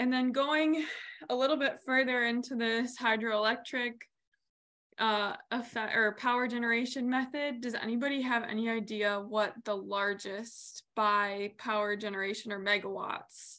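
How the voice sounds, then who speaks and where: A woman's bright, sharp voice with fairly even intonation at a moderate pace over a quiet background. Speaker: presenter. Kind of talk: lecture. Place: home room. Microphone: video call.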